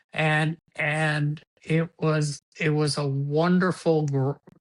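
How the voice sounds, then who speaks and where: This man talks in a monotone, with flat intonation throughout. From Cuba. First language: Spanish. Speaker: sports executive. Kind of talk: interview. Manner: halting, repeats words.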